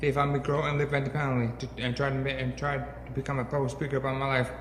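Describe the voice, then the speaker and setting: A man with a medium pitch speaks at a very fast pace in a monotone, flat intonation. There is noticeable background noise and audible room echo. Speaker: brain injury survivor and peer mentor. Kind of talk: public talk. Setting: stage with audience. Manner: halting.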